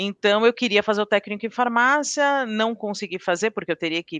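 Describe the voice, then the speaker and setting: An ordinary speaking voice from a woman, lively in intonation and fairly quick, with a dry, close sound, no echo, and a quiet background. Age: 40s. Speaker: pharmaceutical quality manager. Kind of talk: interview.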